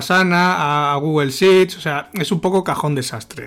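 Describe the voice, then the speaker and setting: An ordinary speaking voice from a man, fairly slow in pace, with ordinary pitch variation. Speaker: marketing consultant and co-host. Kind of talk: casual chat.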